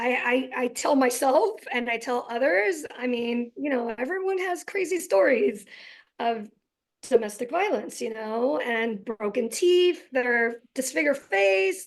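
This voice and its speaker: The voice is loud. Its pitch swings very widely. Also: woman, high pitch for a woman, fairly slow pace. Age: 40s. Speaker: physician and guest speaker. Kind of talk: interview.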